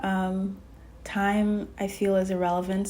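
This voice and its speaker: A woman's voice at medium pitch. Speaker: tarot reader. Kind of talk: spiritual channeled message, tarot reading. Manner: casual, conversational, hesitant.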